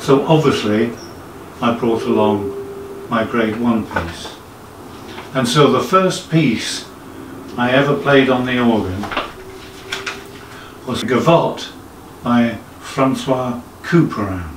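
Over noticeable background noise, the voice goes at a very slow pace with long, frequent pauses. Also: man, ordinary pitch variation. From England, Suffolk. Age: 60s. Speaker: amateur organist. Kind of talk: casual talk to camera. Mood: modest, reflective. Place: home room.

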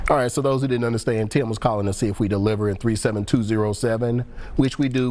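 Talking at a fairly quick pace, a man keeps his intonation fairly even. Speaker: pharmacist and call-in show host. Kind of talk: call-in TV advice show. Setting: TV studio. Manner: friendly. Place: studio.

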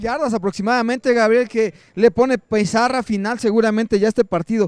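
Intonation stays fairly even, with hardly any pauses. The sound is dry and close with no echo, on a very clean recording with a silent background. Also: man. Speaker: color commentator. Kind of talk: sports analysis commentary. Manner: measured, explanatory analyst tone.

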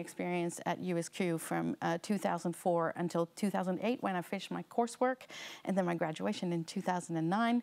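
A woman with a North American accent speaks at a fairly slow pace. Her voice is fairly low-pitched, with ordinary pitch variation. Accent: North American-sounding English. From Netherlands. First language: Dutch. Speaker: learning experience designer. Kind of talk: seminar lecture. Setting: lecture room with live audience. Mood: warm, friendly storytelling. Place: hall. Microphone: lapel.

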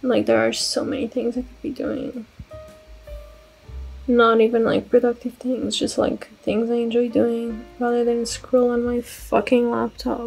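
A woman speaks at a fairly slow pace while faint music plays in the background. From Portugal. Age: 20s. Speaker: book vlogger. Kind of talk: casual vlog talk to camera. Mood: sad, self-critical. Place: home room. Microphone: earbuds.

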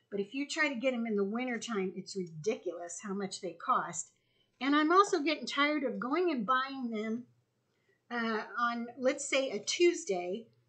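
Over a quiet background, a woman speaks at a moderate pace in a high, bright, sharp voice with very wide pitch swings. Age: 60s. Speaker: homesteader. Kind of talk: casual vlog tutorial. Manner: casual, conversational with fillers. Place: kitchen. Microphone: camera far.

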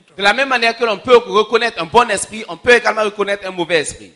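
In a raised, projected voice, a man speaks at a fairly quick pace with ordinary pitch variation. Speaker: preacher. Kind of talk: sermon. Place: church. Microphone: handheld.

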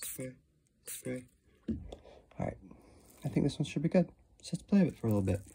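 A man's somewhat breathy, dark, mellow, medium-pitched voice with very wide pitch swings, a fairly quick pace and long, frequent pauses. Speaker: slime and ASMR video creator. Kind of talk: ASMR slime demo to camera. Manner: soft-spoken, relaxing. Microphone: phone near.

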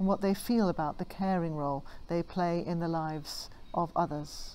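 A woman speaks with a fairly low pitch. Her pitch variation is ordinary. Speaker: church minister. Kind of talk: service welcome address. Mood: warm, calm. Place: garden. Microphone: phone near.

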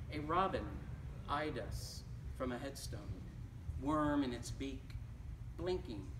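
With an American accent, a man speaks at a very slow pace, pausing long and often, over noticeable background noise. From Detroit area, Michigan. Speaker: poet reading his work. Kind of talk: poetry reading. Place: shop. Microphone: camera far.

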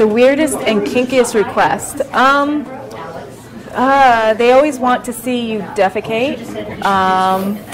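Over crowd noise in the background, a woman talks at a very slow pace with ordinary pitch variation. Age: 30s. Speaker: adult film performer; interviewee. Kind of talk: interview. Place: home room.

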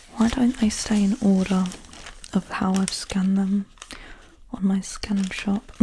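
Soft-spoken and relaxed in tone, a woman talks at medium pitch and a fairly slow pace with fairly even intonation and long, frequent pauses, over light background noise. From UK. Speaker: ASMR creator. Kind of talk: ASMR receipt reading. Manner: soft-spoken, relaxed. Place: home room. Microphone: studio mic.

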